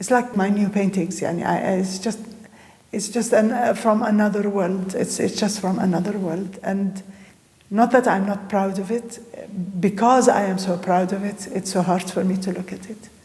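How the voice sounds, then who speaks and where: In an Arabic accent, a woman speaks at a moderate pace and medium pitch with monotone, flat intonation. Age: 70s. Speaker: artist and poet. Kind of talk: interview. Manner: halting.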